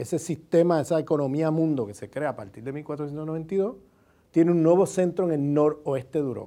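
Over a quiet background, a man with a fairly high pitch and a dark, mellow tone speaks at a very fast pace. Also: ordinary pitch variation. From Puerto Rico. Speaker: sociologist and university professor. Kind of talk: interview answer. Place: home room.

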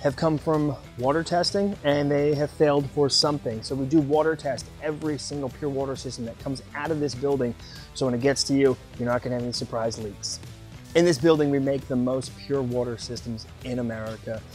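A man at a fairly quick pace with ordinary pitch variation, the sound dry with no echo, faint music in the background. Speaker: company staff tour guide. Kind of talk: guided tour presentation. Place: factory.

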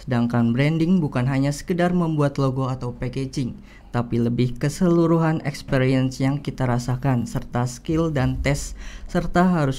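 With a dark, mellow tone, the speaker moves at a moderate pace and shows ordinary pitch variation. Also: man. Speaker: student moderator. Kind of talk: moderating a webinar Q&A. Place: studio. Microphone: studio mic.

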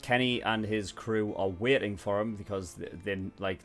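Faint music plays behind a man with a fairly low pitch and a fairly bright tone. He keeps a moderate pace and fairly even intonation.

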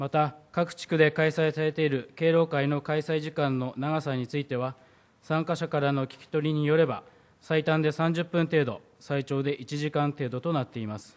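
A man talks at a moderate pace with fairly even intonation. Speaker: city council member. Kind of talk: formal council question. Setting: council chamber podium. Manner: formal. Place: hall. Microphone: podium.

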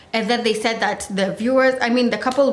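A woman is talking, with light background noise behind her. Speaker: vlogger reviewing a TV show. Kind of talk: casual vlog chat. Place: home room. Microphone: phone near.

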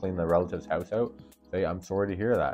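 The speaker talks at a very fast pace with ordinary pitch variation while faint music plays in the background. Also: man. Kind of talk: tutorial advice vlog. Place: home room. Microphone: lapel.

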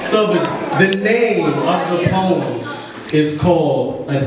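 A man speaks at a very slow pace with lively intonation. Strong room echo and noticeable background noise surround him. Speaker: behavioral coach and poet. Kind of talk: spoken word poem, performed. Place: hall.

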